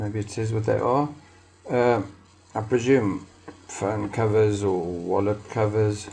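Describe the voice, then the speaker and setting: A man with a South African accent speaks at a very slow pace with long, frequent pauses and a fairly low pitch. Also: fairly even intonation. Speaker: crafter and video host. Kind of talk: casual narrated market tour. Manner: casual, hesitant with fillers.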